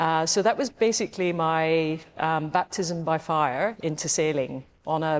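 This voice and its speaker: A woman speaks with a strong Scottish accent at a fairly slow pace. Her pitch is very deep and low, and the recording is very clean with a silent background. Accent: broad Scottish. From Scotland, west coast. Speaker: yacht club past commodore. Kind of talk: interview. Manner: hesitant, many fillers.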